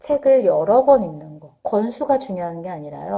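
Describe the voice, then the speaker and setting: A woman speaks at a moderate pace and a fairly high pitch, her tone dark and mellow. Her voice moves in very wide pitch swings. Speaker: parenting vlogger. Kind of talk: casual talk to camera. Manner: conversational with fillers.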